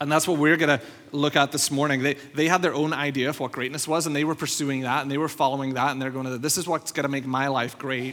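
Very fast and with hardly any pauses, a man talks at a fairly high pitch in a flat monotone, in a very clean recording with a silent background. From Northern Ireland. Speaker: pastor. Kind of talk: sermon. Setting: church.

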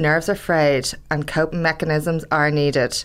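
Over noticeable background noise, a woman with an Irish accent speaks at a fairly slow pace. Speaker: podcast co-host, campaigner. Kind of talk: scripted podcast segments.

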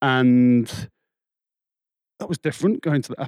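Recorded very cleanly against a silent background, a man with an English accent talks at a moderate pace in a medium pitch, the sound dry and close with no echo. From England. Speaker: churchgoer sharing faith story. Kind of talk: casual interview. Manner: halting.

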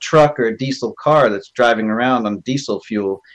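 A man talks at a moderate pace in a normal speaking voice, with lively intonation. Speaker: caller. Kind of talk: casual group discussion. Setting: video call.

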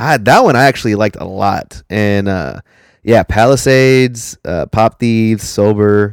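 A man speaks in an unremarkable speaking voice, fairly low and at a fairly slow pace, with ordinary pitch variation. The sound is dry and close with no echo. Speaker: podcast co-host. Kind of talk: casual chat. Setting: remote call with lag. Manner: profane, casual.

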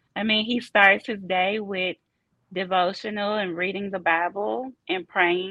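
A woman talks with a Southern US accent. Her pitch is medium and her pace fairly slow. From US South, Memphis, Tennessee. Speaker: football coach's wife. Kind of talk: casual interview. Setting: on location, Los Angeles.

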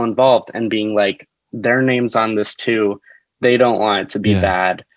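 In an American accent, a man uses a normal speaking voice at medium pitch, moderate pace and fairly even intonation. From New Jersey, US. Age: 20s. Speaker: actor and comedian. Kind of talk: casual chat. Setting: video call.

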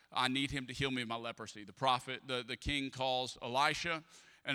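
This man talks with a Louisiana accent at a fairly quick pace. His pitch is medium. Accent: Southern US, Louisiana. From US South, Louisiana (Atchafalaya Basin). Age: 30s. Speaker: pastor. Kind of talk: sermon. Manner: animated.

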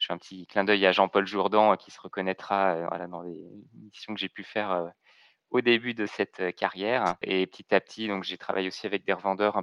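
A man with a fairly low voice speaks at a moderate pace in a monotone, flat intonation. The sound is dry and close with no echo, over a quiet background. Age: 30s. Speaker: IT consultant and trainer. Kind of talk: interview. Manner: hesitant, many repetitions and fillers.

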